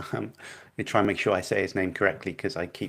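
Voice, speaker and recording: Quietly and at a fairly quick pace, a man is speaking. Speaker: streamer critiquing debates. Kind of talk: casual live stream commentary. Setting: live stream from small flat. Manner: hesitant, many fillers.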